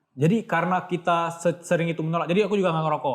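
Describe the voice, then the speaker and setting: A man with an Acehnese accent talks at a very fast pace in a fairly high pitch. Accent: Acehnese accent, proud of it. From Aceh, Indonesia (Banda Aceh). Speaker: author. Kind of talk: podcast interview. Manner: casual, conversational.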